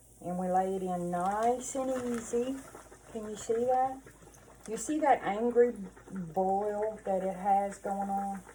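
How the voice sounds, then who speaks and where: In a Southern US accent, a woman of medium pitch speaks very slowly amid audible room echo and noticeable background noise. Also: ordinary pitch variation. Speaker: cooking channel host. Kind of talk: cooking tutorial. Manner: casual, chatty.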